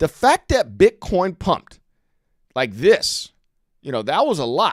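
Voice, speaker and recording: The voice carries an animated tone with vocal fry. The sound is dry and close with no echo, in a very clean recording with a silent background. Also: man. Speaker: crypto trading streamer. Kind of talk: casual trading commentary.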